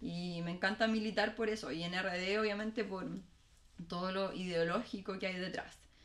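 Moderate-paced speech from a woman at medium pitch, with fairly even intonation and noticeable background noise. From Chile, Valparaíso. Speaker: political candidate. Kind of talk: casual chat.

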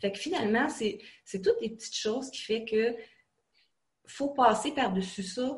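A woman talks at a fairly slow pace in a somewhat breathy voice, with ordinary pitch variation. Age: 40s. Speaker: online college student. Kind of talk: interview.

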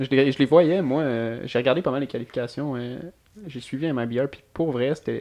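Speech in a Quebec accent at a moderate pace, fairly even intonation, big swings in loudness and noticeable background noise. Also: man, medium pitch for a man. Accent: Québécois French. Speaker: podcast host. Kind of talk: casual chat.

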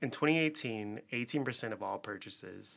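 Over a silent background on a very clean recording, a man with an American accent speaks in a bright, sharp tone. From Chicago. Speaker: podcast host. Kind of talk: casual interview chat. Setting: studio.

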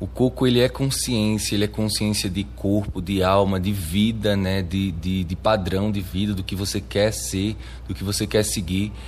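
A man's fairly low voice with vocal fry, lively intonation and a moderate pace. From Arcoverde, Pernambuco sertão, Brazil. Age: 20s. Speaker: samba de coco master and activist. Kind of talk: interview testimony. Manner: halting, with frequent repetitions.

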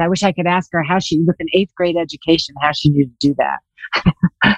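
A woman with an American accent has a plain, everyday voice and fairly low pitch. She speaks at a fairly quick pace, and the sound is dry and close, with no echo. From Los Angeles, California. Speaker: real estate investor. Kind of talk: interview.

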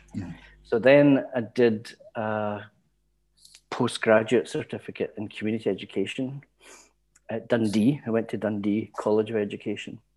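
In a very clean recording with a silent background, a man with a Glaswegian accent speaks at a moderate pace with fairly even intonation and long, frequent pauses. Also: medium pitch for a man. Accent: Glaswegian Scottish. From Scotland, East End of Glasgow. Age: 60s. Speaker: retired community education lecturer. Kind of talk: casual interview.

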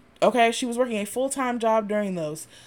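A woman speaks loudly at a high pitch, moving at a fairly quick pace with ordinary pitch variation. The recording is very clean with a silent background. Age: 30s. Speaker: podcast host. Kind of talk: casual monologue. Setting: home recording in apartment.

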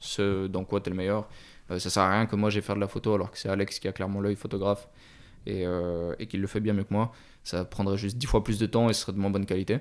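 Over a very clean recording with a silent background, a man talks at a very fast pace, his pitch fairly low and his intonation monotone and flat. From Switzerland, Lausanne area. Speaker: vintage watch dealer. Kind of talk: casual interview chat. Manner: halting, many fillers.

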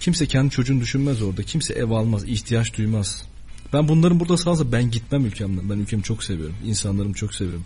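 Very fast and with lively intonation, a man speaks in a medium pitch with a dark, mellow tone that is somewhat breathy. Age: 20s. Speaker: journalism student. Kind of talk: radio interview.

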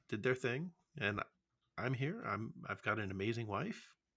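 A man with an American accent talks at a medium pitch in a bright, sharp tone. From US Midwest. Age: middle-aged. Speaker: podcast host. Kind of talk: casual chat. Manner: halting, many fillers.

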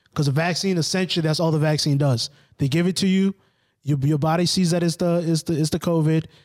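A man's ordinary speaking voice, fairly high in pitch and fairly quick, with fairly even intonation on a very clean recording against a silent background. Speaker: podcast host. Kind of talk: casual banter podcast chat.

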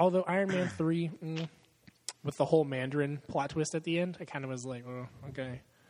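He has a normal speaking voice. The man's pitch is fairly high, with ordinary pitch variation. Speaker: podcast host. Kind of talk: casual chat. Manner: profane, laughs often.

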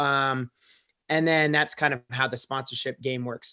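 A man's medium-pitched voice, bright and sharp in tone, with monotone, flat intonation. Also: very clean recording, silent background. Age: 30s. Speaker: professional kayaker and real estate investor. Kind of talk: podcast interview.

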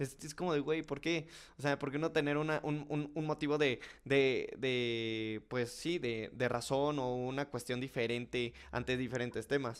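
The recording is very clean with a silent background, featuring a man with an unremarkable speaking voice at a medium pitch. He speaks at a fairly slow pace with fairly even intonation. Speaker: podcast host. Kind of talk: casual chat.

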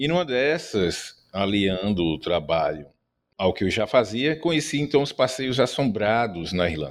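In a very clean recording with a silent background, a man with a fairly low pitch talks at a fairly slow pace with very wide pitch swings. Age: 50s. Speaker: ghost tour guide. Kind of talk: interview.

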